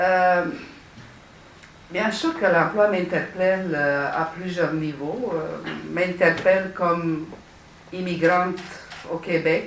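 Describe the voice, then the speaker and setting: A woman with a Romanian accent speaks at a very slow pace and fairly low pitch, with fairly even intonation, long, frequent pauses, audible room echo and noticeable background noise. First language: Romanian (speaking French). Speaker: city councillor, panelist. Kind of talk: panel discussion. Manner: halting, many hesitations.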